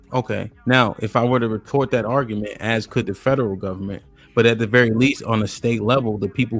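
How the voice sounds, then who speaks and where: A man talks at a fairly quick pace in a fairly low pitch. His intonation is flat and monotone. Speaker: live stream show host. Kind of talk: live panel discussion. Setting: live stream with chat. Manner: fast.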